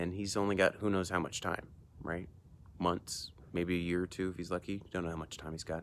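A man's very deep, low voice, flat and monotone at a moderate pace, dry with no echo. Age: 40s. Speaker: emergency room doctor and video host. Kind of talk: solo book review monologue. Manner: casual, hesitant with frequent fillers. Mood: thoughtful, calm. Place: garden. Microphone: earbuds.

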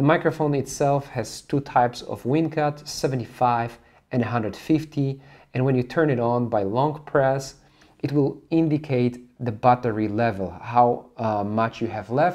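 A man's voice with ordinary pitch variation and a quiet background. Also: moderate pace. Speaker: gear reviewer. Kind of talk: product review tutorial. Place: studio.

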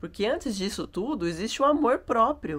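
Her voice has vocal fry and very wide pitch swings as the woman speaks at a moderate pace. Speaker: travel vlogger. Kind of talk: vlog reflection monologue. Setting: yoga and holistic therapy house. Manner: casual and chatty; speaking quietly.

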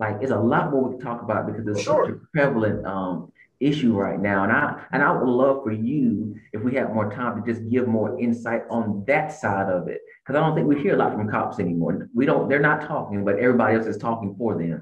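A man at a fairly quick pace with hardly any pauses and ordinary pitch variation, quiet background, audible room echo. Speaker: podcast host. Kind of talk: interview. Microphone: video call.

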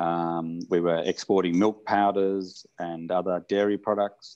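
Over a quiet background, a man with an Australian accent speaks at a fairly slow pace in a very deep, low pitch with monotone, flat intonation. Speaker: hot spring spa founder, entrepreneur; interviewee. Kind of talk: oral history interview. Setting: remote video call. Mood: calm, reflective. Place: home room. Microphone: video call.

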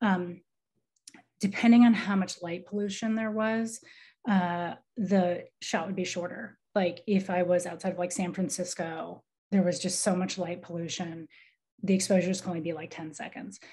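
A woman with an American accent, somewhat breathy, dark and mellow in tone, at a moderate pace with fairly even intonation. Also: quiet background. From US Midwest, Iowa. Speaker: artist. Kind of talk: artist talk. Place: home room. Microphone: video call.

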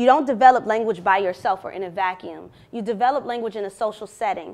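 Talking at a very fast pace, a woman uses a fairly high pitch with ordinary pitch variation and big swings in loudness. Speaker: university lecturer. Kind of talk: academic presentation. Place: classroom.

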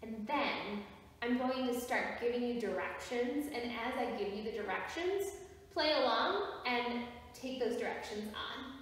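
A woman speaks at a fairly slow pace with ordinary pitch variation amid strong room echo. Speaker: drama or movement instructor. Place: empty room. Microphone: camera far.

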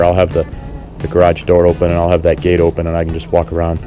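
Faint music plays in the background. A man speaks with a very deep, low pitch. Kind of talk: casual tour narration. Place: garden. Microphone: phone near.

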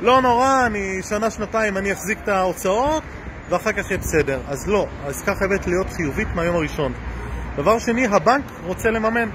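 A man at a fairly quick pace amid noticeable background noise. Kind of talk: casual educational vlog talk. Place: street. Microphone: phone near.

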